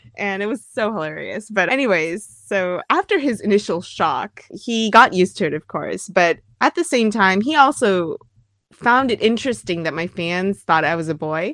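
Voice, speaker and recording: A woman with an ordinary speaking voice talks at a medium pitch and moderate pace with lively intonation, in a dry, close recording with no echo and a quiet background. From US, raised in America, later years in Japan. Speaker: singer and musician. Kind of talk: interview.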